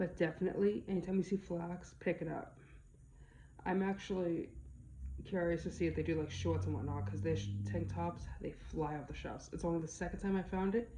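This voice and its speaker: A woman with an American accent speaks very fast in a very deep, low voice with a dark, mellow tone, vocal fry, and very wide pitch swings. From Boston area, US. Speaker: online reseller, YouTuber. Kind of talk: casual vlog about sales.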